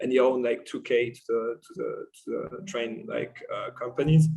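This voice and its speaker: This is a man with a French accent. He talks at a moderate pace. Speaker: podcast guest. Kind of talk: casual chat.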